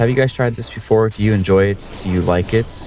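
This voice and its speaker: Music runs in the background while a man talks with an American accent. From United States. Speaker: gaming YouTuber. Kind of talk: casual gameplay commentary. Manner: casual, rambling.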